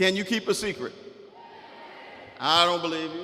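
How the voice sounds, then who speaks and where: Over noticeable background noise, a man with a South Carolina accent speaks in a raised, projected voice with an animated tone at a moderate pace. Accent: Southern US (South Carolina). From US South. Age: 60s. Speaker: author and guest speaker. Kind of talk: motivational speech to students. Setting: school assembly with audience. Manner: animated, interactive with audience.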